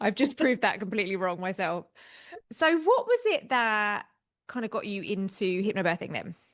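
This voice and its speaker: Speaking in a British accent, a woman of medium pitch talks at a moderate pace with lively intonation. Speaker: podcast host, hypnobirthing teacher. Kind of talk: casual interview chat.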